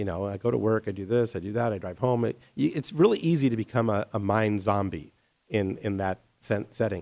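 In an ordinary speaking voice, this man moves along at a fairly quick pace. A fairly low pitch carries ordinary variation. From Colorado, US. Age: 50s. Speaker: architect. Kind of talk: interview.

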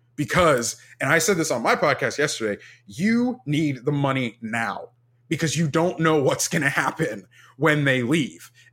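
Here a man with an American accent and an ordinary speaking voice talks at a fairly high pitch and a moderate pace, with lively intonation and very even loudness, in a very clean recording with a silent background. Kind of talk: casual chat.

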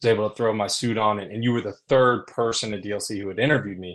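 A man with an American accent uses a normal speaking voice, fairly low in pitch. His intonation is fairly even, and the background is quiet. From US South. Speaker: commercial real estate leasing executive. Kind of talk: casual interview.

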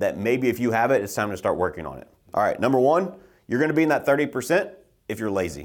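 In a confident tone, a man with vocal fry and a medium pitch talks at a very fast pace with very wide pitch swings, on a very clean recording with a silent background. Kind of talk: pep talk. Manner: emphatic, fired-up, blunt; confident, motivational, driving.

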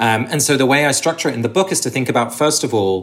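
Speaking in a southern English accent, a man talks at a fairly quick pace with lively intonation. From England, Sussex. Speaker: author and ritual researcher. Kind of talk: interview conversation.

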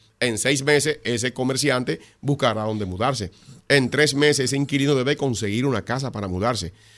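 Speaking at a fairly quick pace, a man uses medium pitch and ordinary pitch variation in an unremarkable speaking voice. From Dominican Republic, La Romana. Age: 60s. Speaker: congressman. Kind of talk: radio interview.

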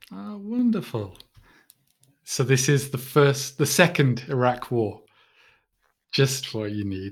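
Speaking very slowly in a British accent, a man with medium pitch sounds somewhat breathy, his loudness swinging widely between long, frequent pauses. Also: lively intonation. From Britain. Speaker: podcast host. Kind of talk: interview.

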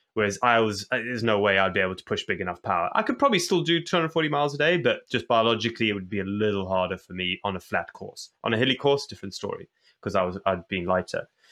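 Against a quiet background, a bright, sharp voice races at a very fast pace with lively intonation and hardly any pauses. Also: man, medium pitch for a man. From Zimbabwe. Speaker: endurance athlete. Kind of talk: interview.

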